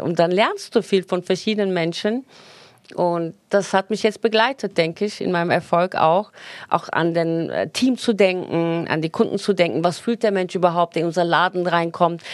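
A woman's medium-pitched, a normal speaking voice at a moderate pace, with ordinary pitch variation. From Turkey. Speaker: hairdresser and salon owner. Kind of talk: casual interview chat.

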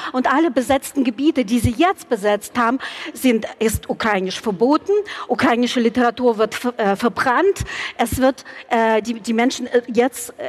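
In a dry, close recording with no echo but noticeable background noise, a woman speaks fairly slowly at a high pitch with ordinary pitch variation. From Ukraine, Kyiv. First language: Russian and Ukrainian (speaking German). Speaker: community spokesperson. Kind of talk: panel debate. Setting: live event in a church with audience. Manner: halting.

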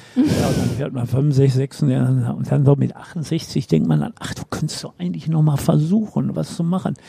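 A man keeps a moderate pace with hardly any pauses as noticeable background noise continues. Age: 70s. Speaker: sports reporter. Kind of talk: casual chat.

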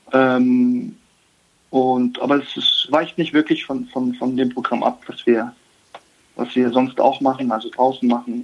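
The speech moves at a fairly slow pace with flat, monotone intonation. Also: man, medium pitch for a man. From Germany, Baden-Württemberg. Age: 30s. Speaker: professional footballer. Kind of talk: interview.

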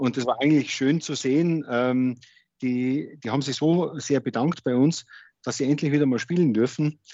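A man's fairly high pitch at a moderate pace, with fairly even intonation and a normal speaking voice. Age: 40s. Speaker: district administrator and hobby guitarist. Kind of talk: casual interview.

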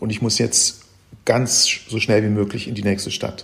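With a fairly low pitch, a man speaks at a moderate pace, somewhat breathy, in a monotone, flat intonation. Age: 70s. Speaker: travel writer and reporter. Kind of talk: interview. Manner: halting, many fillers and repetitions.

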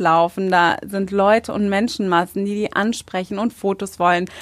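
On a very clean recording with a silent background, a woman speaks at a moderate pace and medium pitch in a flat, monotone way, the sound dry and close with no echo. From Germany. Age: 20s. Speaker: beauty pageant winner. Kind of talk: interview.

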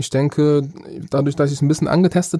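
The voice has a dark, mellow tone and fairly even intonation. Its sound is dry and close, with no echo. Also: man. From northern Germany, Bremerhaven. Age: 30s. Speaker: rapper. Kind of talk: interview.

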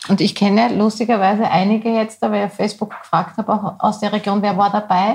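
A woman of medium pitch speaks at a very fast pace with hardly any pauses. Her voice is somewhat breathy and her intonation is monotone and flat. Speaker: podcast co-host. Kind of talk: casual chat. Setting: studio.

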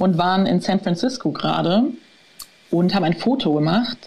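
A woman talks at a fairly quick pace with lively intonation. She has an unremarkable speaking voice. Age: 30s. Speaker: author and patient with overactive bladder. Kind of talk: interview, personal story.

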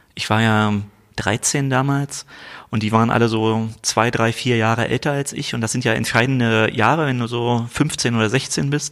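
This is an ordinary speaking voice: a man at medium pitch with fairly even intonation. The recording is very clean, with a silent background. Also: moderate pace. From East Berlin. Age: 40s. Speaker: state government minister. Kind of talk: political interview. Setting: office.

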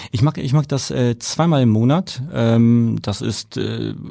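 A man's dark, mellow tone with a slight Franconian accent, lively intonation and a very slow pace, on a very clean recording with a silent background. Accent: slight Franconian, rolled R. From Germany, Nuremberg (Franconia). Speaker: airport operations manager. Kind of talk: interview. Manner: halting, many fillers.

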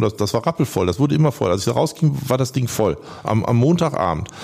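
A man talks at a very fast pace with very wide pitch swings. Noticeable background noise sits behind him. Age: 60s. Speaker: commercial real estate broker. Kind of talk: interview.

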